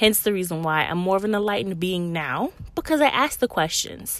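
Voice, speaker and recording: A woman talks at a fairly quick pace with an American accent. Her pitch swings very widely. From US South, Low Country South Carolina. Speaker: podcast host. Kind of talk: solo podcast monologue. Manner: halting, with fillers and repeats.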